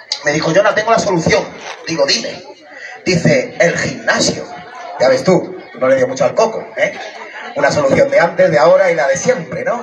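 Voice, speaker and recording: Amid crowd noise in the background, a man talks in an animated tone at a moderate pace. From Catalonia, Santa Coloma de Gramenet; Catalonia. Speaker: stand-up comedian. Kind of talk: stand-up. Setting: outdoor stage at neighbourhood festival with audience. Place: stage. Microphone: camera far.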